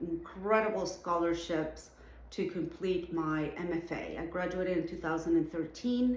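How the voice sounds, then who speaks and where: A woman speaks at a moderate pace in a Venezuelan accent, her pitch fairly low and her intonation fairly even. Audible room echo surrounds her voice. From Venezuela, Caracas. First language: Spanish. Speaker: artist and art educator, show juror. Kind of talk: recorded address to students.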